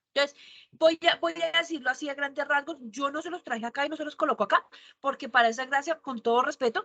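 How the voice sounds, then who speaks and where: Her voice raised and projected, a woman talks at a very fast pace in a bright, sharp tone. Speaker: university teacher. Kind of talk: online lecture. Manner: animated.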